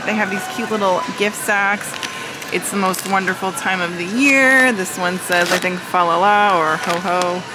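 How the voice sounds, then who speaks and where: A woman speaks with ordinary pitch variation. Music plays in the background, and the sound is dry with no echo. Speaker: shopping vlogger. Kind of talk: casual vlog chat. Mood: cheerful, upbeat. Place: shop. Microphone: phone near.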